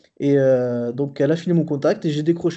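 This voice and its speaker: A man talks at a moderate pace with fairly even intonation. His pitch sits fairly high. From southern France. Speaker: graphic designer. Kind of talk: casual chat. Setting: remote recording. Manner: halting.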